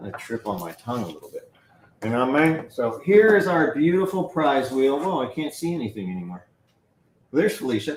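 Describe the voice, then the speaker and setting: Talking at a fairly quick pace, a man with a fairly high voice makes very wide pitch swings and big swings in loudness. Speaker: livestream shopping host. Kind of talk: live shopping stream. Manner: fast; animated.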